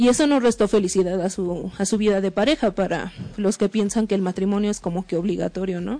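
A woman of medium pitch speaks in a dark, mellow tone at a moderate pace, with fairly even intonation and a quiet background. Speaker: radio show host. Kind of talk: casual radio talk.

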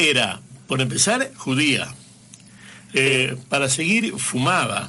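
A man is speaking. The room echo is audible. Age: 70s. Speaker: radio host. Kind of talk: radio interview.

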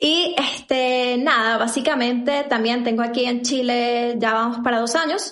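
A woman speaks at a high pitch and a fairly slow pace, with fairly even intonation. She hardly pauses, and her loudness stays very even. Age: 20s. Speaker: podcast co-host. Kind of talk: casual chat.

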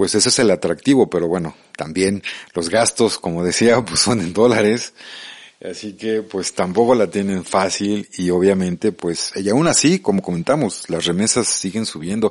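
This is a man with a fairly low pitch and ordinary pitch variation. He has a plain, everyday voice. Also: moderate pace. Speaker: radio host. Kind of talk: radio interview. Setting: radio studio. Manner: casual, friendly.

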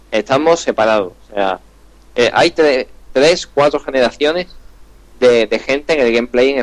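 A man speaks at a moderate pace in an Andalusian accent, his pitch medium with ordinary variation. Long, frequent pauses break his speech, and the sound is dry and close with no echo. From Andalusia, Spain. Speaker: gaming podcast host. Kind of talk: casual chat.

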